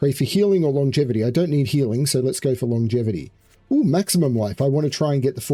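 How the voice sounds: Here the reading voice sounds natural.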